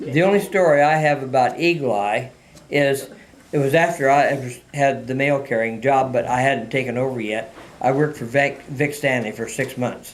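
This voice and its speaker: Audible room echo surrounds a man with an American accent. His fairly high pitch comes at a moderate pace. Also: ordinary pitch variation. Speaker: retired mail carrier. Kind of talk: oral history interview. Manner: halting, many fillers.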